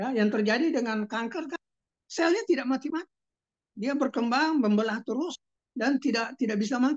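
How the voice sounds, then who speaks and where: At a fairly quick pace, a woman with a high pitch speaks with ordinary pitch variation in a dry, close sound with no echo. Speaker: doctor presenting health products. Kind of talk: sales presentation. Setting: video call. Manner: halting, many fillers; louder after request.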